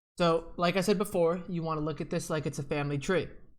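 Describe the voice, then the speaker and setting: With fairly even intonation and fairly high pitch, a man talks at a very fast pace amid audible room echo. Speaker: computer science teacher. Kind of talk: lecture. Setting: looking at the camera.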